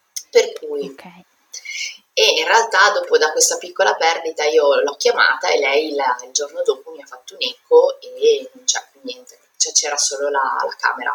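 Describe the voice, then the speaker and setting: A woman's voice at a moderate pace, with big swings in loudness. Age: 30s. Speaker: pharmaceutical sales rep and mother. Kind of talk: personal testimony interview.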